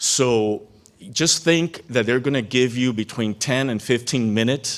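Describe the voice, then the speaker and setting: A man with a plain, everyday voice speaks fairly slowly at a medium pitch with ordinary pitch variation. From Cuban-American background. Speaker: keynote speaker, former congressional staffer. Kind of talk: keynote speech.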